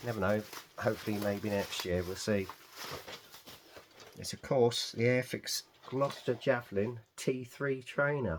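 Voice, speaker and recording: With an English accent, a man speaks at a fairly slow pace, leaving long, frequent pauses. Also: medium pitch for a man, ordinary pitch variation. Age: 60s. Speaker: scale model hobbyist. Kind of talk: casual unboxing video. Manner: chatty, with fillers.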